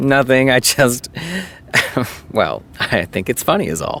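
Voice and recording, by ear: A man's put-on character voice at medium pitch, with vocal fry, a bright, sharp tone, lively intonation and slow pace over faint background noise.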